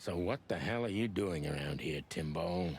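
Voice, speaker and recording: A man does a put-on character voice, raspy and very deep in pitch. He speaks at a moderate pace over clear background noise. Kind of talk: hard-boiled noir voice-over. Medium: video game. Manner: gruff, sarcastic.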